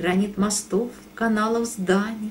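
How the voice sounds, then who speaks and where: A woman talks very slowly, her medium-pitched voice holding fairly even intonation. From Russia. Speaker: poet. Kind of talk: poetry reading.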